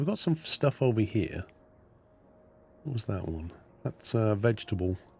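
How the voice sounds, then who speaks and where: With a British accent, a man talks at a moderate pace and medium pitch, his somewhat breathy voice carrying lively intonation. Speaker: gaming streamer. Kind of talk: live gameplay stream chat. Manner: casual, chatty.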